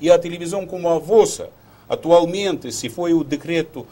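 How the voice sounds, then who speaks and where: A man talks at a moderate pace in a fairly high pitch. His tone is dark and mellow, with ordinary pitch variation. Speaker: diplomat. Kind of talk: TV interview. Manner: halting.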